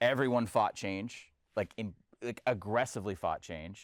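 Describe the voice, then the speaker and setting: Fairly low pitch from a man with an ordinary speaking voice and ordinary pitch variation, on a very clean recording with a silent background. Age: 40s. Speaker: sports columnist and podcaster. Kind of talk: panel discussion.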